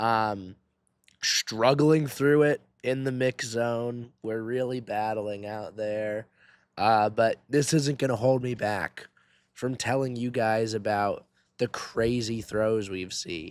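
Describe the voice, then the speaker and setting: Speaking at a very slow pace, a man with a medium pitch keeps his intonation fairly even on a very clean recording with a silent background. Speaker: track and field throws commentator. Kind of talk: casual video commentary.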